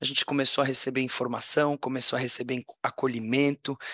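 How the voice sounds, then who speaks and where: Over a quiet background, a man speaks at a fairly quick pace in a flat monotone, his tone bright and sharp and the sound dry and close with no echo. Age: 40s. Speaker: tech entrepreneur and social impact founder. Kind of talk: interview conversation.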